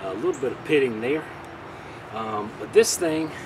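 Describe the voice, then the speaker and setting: Over noticeable background noise, a man's voice comes through dry with no echo. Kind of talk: casual tutorial vlog chat. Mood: relaxed, friendly, some laughs. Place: garden.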